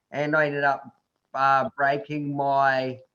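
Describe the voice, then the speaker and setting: This man has a New Zealand accent and a fairly high pitch. He speaks at a very slow pace. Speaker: adventure tourism company founder, tetraplegic. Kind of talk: interview talk to online group. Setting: video call. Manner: casual, hesitant with fillers.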